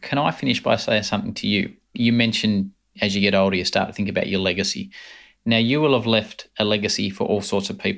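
Here a man talks at a very fast pace. The recording is very clean, with a silent background. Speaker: podcast host. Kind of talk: interview conversation.

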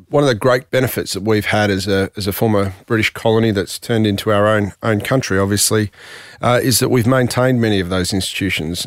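A man with an Australian accent speaks at a very fast pace in a fairly low pitch with fairly even intonation, recorded very cleanly against a silent background with a dry, close sound and no echo. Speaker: chamber of commerce chief executive. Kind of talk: interview.

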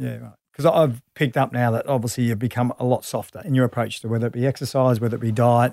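A man with an Australian accent and a dark, mellow tone speaks at a very fast pace with medium pitch, fairly even intonation and hardly any pauses, in a very clean recording with a silent background and a dry, close sound with no echo. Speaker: podcast host and former rugby league player. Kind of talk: casual interview.

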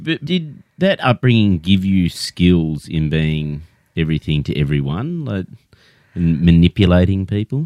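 A man with an Australian accent, very deep, low pitch, lively intonation and a fairly slow pace. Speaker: comedy podcast host. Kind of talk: comedic interview. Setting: studio.

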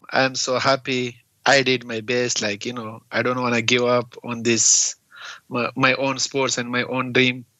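A man with a Pakistani accent, medium pitch, monotone, flat intonation and a fairly slow pace. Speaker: refugee and bare-knuckle fighter. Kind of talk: interview. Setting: video call from US. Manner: halting, broken English.

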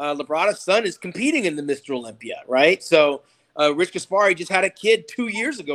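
A man speaks at a fairly quick pace in a high voice. His pitch variation is ordinary. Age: 50s. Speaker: retired bodybuilder. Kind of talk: casual panel chat.

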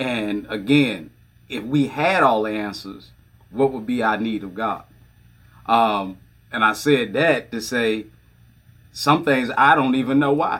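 At a fairly slow pace, a man of medium pitch talks with ordinary pitch variation and long, frequent pauses. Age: 40s. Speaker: pastor. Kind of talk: casual chat.

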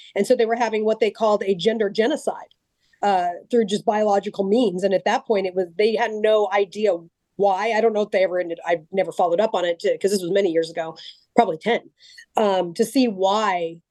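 A woman's dark, mellow tone at a very fast pace, with fairly even intonation and a dry, close sound free of echo. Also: medium pitch for a woman. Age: 40s. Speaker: gun rights advocate and abuse survivor. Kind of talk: podcast interview.

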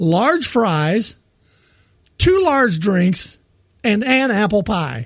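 A man's high voice with very wide pitch swings, a very slow pace, and long, frequent pauses. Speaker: podcast co-host. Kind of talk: casual chat. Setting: studio. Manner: usually quiet.

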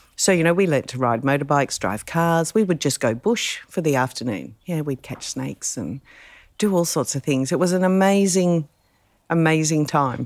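A woman with an Australian accent speaks at a moderate pace in a very deep, low pitch with lively intonation, on a very clean recording with a silent background. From Adelaide, South Australia (born in England, emigrated aged 3-4). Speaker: rally co-driver. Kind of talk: casual interview chat. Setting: at home, outdoors by pool then inside.

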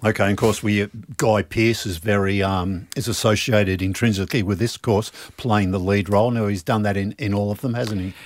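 Here a man talks with an Australian accent. His intonation is fairly even. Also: fairly low pitch for a man, fairly quick pace. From Melbourne, Australia. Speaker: podcast host and trade magazine editor. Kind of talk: casual interview. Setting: studio.

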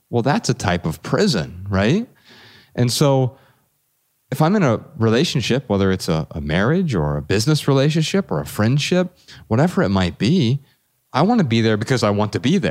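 A man with an American accent at a medium pitch, vocal fry, very wide pitch swings and a moderate pace. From US Midwest, Dayton, Ohio. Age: 40s. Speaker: author and documentary maker. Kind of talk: podcast interview.

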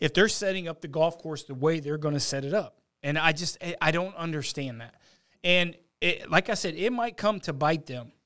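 At a moderate pace, a man with an ordinary speaking voice talks at a fairly high pitch with ordinary pitch variation and big swings in loudness. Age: 20s. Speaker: golf analyst and handicapper. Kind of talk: casual sports talk. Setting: studio.

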